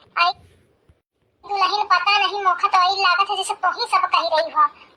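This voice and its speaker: A woman puts on a squeaky, cartoonish character voice at an extremely high pitch, talking at a fairly quick pace in a monotone, flat intonation. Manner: sulky, grumbling.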